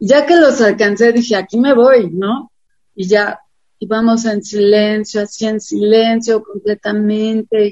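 A woman speaks in an ordinary speaking voice at a fairly high pitch. Her pace is fairly slow and her intonation fairly even. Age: 60s. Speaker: cycling activist. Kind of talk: interview.

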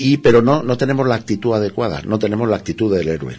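A man talks at a very fast pace and a fairly low pitch. His voice carries vocal fry. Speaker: alchemy therapist. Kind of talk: interview.

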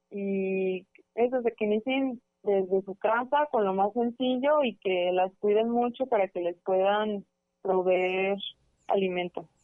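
Speech from this woman comes very slowly. Her voice sits at a medium pitch. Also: ordinary pitch variation. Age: 20s. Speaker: student and small farmer. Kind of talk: radio interview.

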